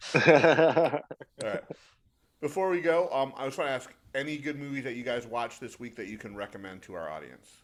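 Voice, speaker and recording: With an American accent, a man at medium pitch talks at a fairly quick pace, his intonation lively and his loudness swinging widely. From Detroit, Michigan. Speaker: podcast co-host. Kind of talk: casual chat.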